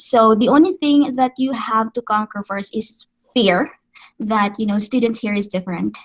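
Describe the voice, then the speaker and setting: In a dry, close sound with no echo, a woman with a Visayan Filipino accent speaks at a moderate pace, somewhat breathy, with a fairly high pitch and ordinary pitch variation. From Philippines, Negros Occidental (Visayas). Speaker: special education teacher. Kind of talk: interview. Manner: Taglish code-switching with frequent fillers.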